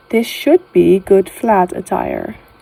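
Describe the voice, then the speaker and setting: A woman of medium pitch with a Dutch accent, over noticeable background noise. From Netherlands. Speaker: gaming youtuber. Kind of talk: casual gameplay commentary. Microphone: phone recording, picks up background noise.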